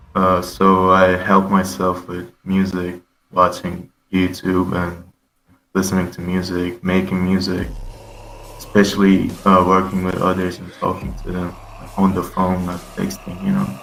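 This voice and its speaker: Heard with audible room echo, a man with a Turkish accent talks at a fairly slow pace in a very deep, low pitch, his intonation monotone and flat and his loudness swinging widely. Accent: Turkish accent, still somewhat noticeable. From Turkey. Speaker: trap metal rapper. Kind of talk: casual interview. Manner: hesitant, many fillers.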